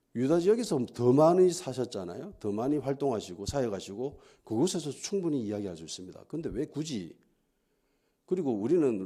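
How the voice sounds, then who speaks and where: On a very clean recording with a silent background, a man speaks at a fairly quick pace and medium pitch. His dark, mellow tone carries very wide pitch swings. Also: big swings in loudness. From Gyeongsang region, South Korea. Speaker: pastor. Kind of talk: sermon. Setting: church.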